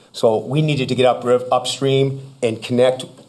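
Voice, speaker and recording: Through noticeable background noise, a man with a Boston accent speaks in a flat, medium-pitched monotone. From Massachusetts. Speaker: former police chief. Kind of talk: public presentation. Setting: town board meeting.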